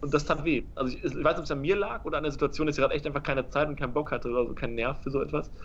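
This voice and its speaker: Ordinary pitch variation marks this man's very fast speech. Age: 20s. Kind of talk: casual chat.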